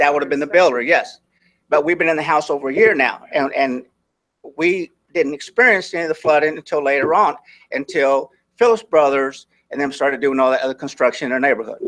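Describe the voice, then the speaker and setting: This man has an unremarkable speaking voice, fairly high in pitch with ordinary pitch variation. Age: 60s. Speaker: resident speaking at city council, retired military, teacher. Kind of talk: public comment at council meeting. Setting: city council meeting.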